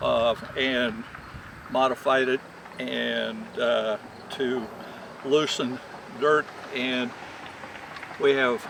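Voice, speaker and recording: A man with an American accent talks at a very slow pace with long, frequent pauses. Background noise is noticeable. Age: 70s. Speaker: retired Christmas tree farmer. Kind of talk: demonstration. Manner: halting.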